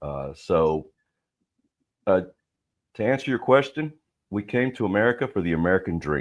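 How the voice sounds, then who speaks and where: Very wide pitch swings with long, frequent pauses. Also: man, fairly low pitch for a man, moderate pace. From South Texas (McAllen), born in Mexico. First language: Spanish. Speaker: lawyer and business owner. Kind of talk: interview podcast.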